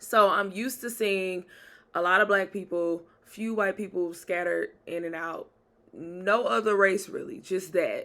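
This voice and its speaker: Animated and bright, sharp in tone, a woman with a Southern accent speaks at a fairly slow pace in a medium-pitched voice with ordinary pitch variation, on a very clean recording with a silent background. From US South, Jackson, Mississippi. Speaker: podcaster and author. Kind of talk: casual storytelling.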